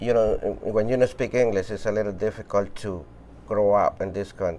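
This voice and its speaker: Using a Spanish accent, a man speaks fairly quickly in a fairly low voice with ordinary pitch variation. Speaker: shoe repair business owner. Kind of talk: interview testimony.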